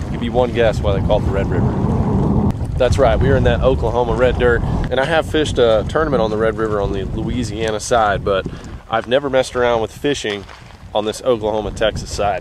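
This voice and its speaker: There is noticeable background noise, though the sound is dry with no echo. A man speaks at a fairly quick pace. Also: ordinary pitch variation. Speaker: fishing vlogger. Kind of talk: casual vlog chat. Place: waterside. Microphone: phone near.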